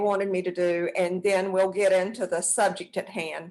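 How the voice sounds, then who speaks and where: This woman speaks with a strong Southern US accent. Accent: thick Southern US. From US South, South Georgia. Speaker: acupuncturist and health care provider. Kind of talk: online presentation. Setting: online webinar.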